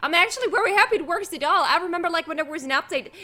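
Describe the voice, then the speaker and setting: A woman's raised, projected voice, bright and sharp in tone, with lively intonation at a very fast pace. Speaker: gaming streamer. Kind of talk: live stream game commentary. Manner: casual, chatty.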